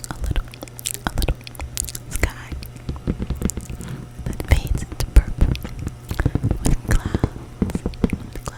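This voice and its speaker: A woman whispers very slowly, with big swings in loudness and long pauses that come often. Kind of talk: ASMR whisper talk showing paintings. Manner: whispered, repetitive triggery repetition.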